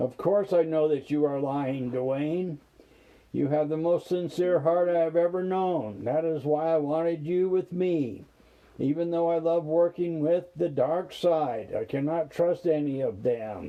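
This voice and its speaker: A man does a put-on character voice with a growl, pitched fairly high for a man and delivered at a moderate pace. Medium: read story. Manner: snarling, mocking.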